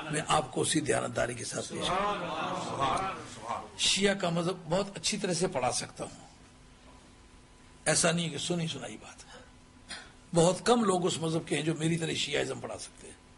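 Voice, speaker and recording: A man's high-pitched voice with ordinary pitch variation and big swings in loudness, amid noticeable background noise and audible room echo. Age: 60s. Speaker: Islamic scholar, preacher. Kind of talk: sermon.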